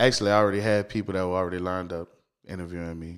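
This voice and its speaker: In a very clean recording with a silent background, a man with a New Orleans accent speaks in a very deep, low pitch with monotone, flat intonation. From New Orleans East, Louisiana. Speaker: street interviewer and social media content creator. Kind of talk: casual interview. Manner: repetitive false starts, stammering repeats.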